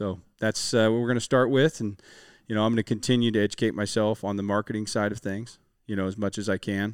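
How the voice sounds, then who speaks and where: A man with an American accent talks very fast at a fairly low pitch, the recording very clean with a silent background and a dry, close sound with no echo. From Western Washington, US Pacific Northwest. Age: 30s. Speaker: construction and restoration business owner. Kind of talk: casual interview chat. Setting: business warehouse used as recording space.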